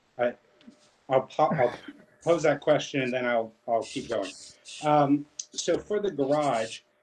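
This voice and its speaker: Someone with a plain, everyday voice speaks at a fairly slow pace and fairly even intonation, with light background noise. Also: man. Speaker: architect presenting an application. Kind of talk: public hearing presentation. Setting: video call. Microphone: video call.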